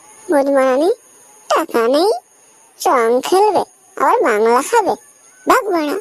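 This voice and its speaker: A woman performs a cartoonish character voice, high in pitch with very wide pitch swings, at a fairly slow pace. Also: very even loudness, dry, close sound with no echo. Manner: crude, irritable.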